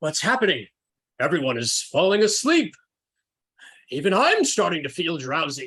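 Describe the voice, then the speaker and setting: A man's put-on character voice, high in pitch with very wide pitch swings, at a moderate pace with long, frequent pauses. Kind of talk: hammy radio serial acting. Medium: actual play.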